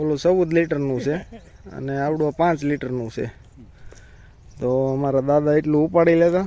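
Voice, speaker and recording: A man talks with a fairly high pitch and fairly even intonation. His is an unremarkable speaking voice. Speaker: village vlogger and farmer. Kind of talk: casual vlog narration. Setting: outdoors on a farm.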